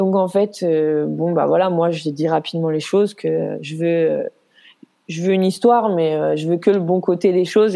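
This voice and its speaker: At a moderate pace, a woman speaks in an unremarkable speaking voice with fairly even intonation and a fairly low pitch. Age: 30s. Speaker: nurse, single mother. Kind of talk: personal testimony interview.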